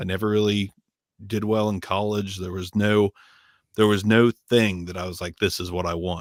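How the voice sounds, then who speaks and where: On a very clean recording with a silent background and a dry, close sound with no echo, a man speaks at a moderate pace in a fairly low pitch, his intonation monotone and flat, his loudness swinging widely, with long, frequent pauses. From Southern Ohio, US. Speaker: microphone reviewer. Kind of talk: casual chat. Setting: live stream.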